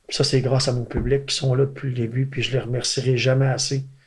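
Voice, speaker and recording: A man speaks with an eastern Quebec accent in a somewhat breathy voice. His intonation stays monotone and flat. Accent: Gaspésie French. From Gaspésie, Quebec. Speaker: country singer. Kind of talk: interview.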